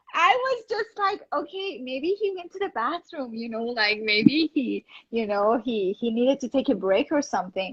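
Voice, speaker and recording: A woman with a Persian accent speaks at a moderate pace with hardly any pauses, her high voice swinging very widely in pitch, in a dry, close recording with no echo. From Iran. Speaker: actress and model. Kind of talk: interview. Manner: animated.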